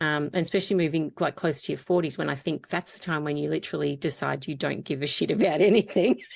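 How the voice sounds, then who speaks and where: With an Australian accent and vocal fry, the speech runs at a very fast pace with hardly any pauses and ordinary pitch variation. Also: woman, very deep, low pitch for a woman. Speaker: podcast host. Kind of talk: casual chat.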